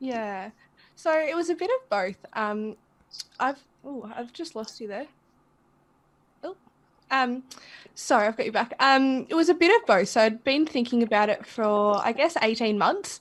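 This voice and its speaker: A woman with an Australian accent speaks high and at a moderate pace with lively intonation, big swings in loudness, and long, frequent pauses. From Australia, rural Victoria. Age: 20s. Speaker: sobriety community founder. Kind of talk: podcast interview.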